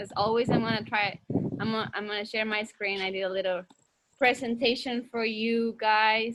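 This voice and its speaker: Her tone bright and sharp, a woman speaks at a fairly high pitch in a monotone, flat intonation. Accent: Mexican. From Mexico, Torreon. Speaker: teacher. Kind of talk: online class lecture. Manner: casual, hesitant with fillers.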